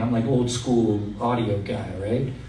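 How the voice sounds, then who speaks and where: A man talks in an animated tone amid noticeable background noise and audible room echo. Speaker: event MC and podcast host. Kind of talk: live stage interview. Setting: stage with audience. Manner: stuttering a little.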